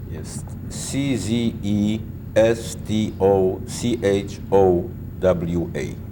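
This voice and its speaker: A man talks very slowly in a fairly low pitch. Room echo is audible, and there is noticeable background noise. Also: ordinary pitch variation. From Poland. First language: Polish. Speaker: Holocaust survivor. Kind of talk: oral history interview.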